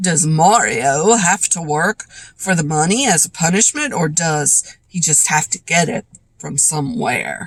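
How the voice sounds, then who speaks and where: A woman does a put-on character voice, fairly low-pitched and raspy. She keeps a moderate pace. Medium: read story. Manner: dry, wry.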